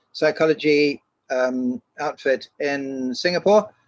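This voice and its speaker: A man speaks with a British accent. His pitch variation is ordinary. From England. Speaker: educational psychologist. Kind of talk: webinar presentation. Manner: hesitant, many fillers.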